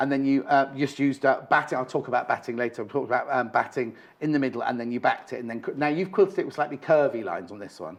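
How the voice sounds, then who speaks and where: A man with a British accent speaks at a very fast pace with hardly any pauses. His tone is animated and his pitch fairly high. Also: ordinary pitch variation. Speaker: shopping channel presenter. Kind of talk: live TV craft demonstration.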